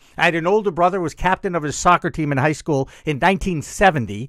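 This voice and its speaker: An animated tone from a man with an American accent. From US. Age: 60s. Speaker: media talk show host. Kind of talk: casual chat.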